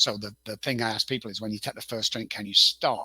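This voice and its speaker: Bright and sharp in tone, a man talks at a fairly quick pace with an English accent. The recording is dry and close, without echo. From northern England, Manchester. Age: 60s. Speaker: addiction consultant. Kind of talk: interview.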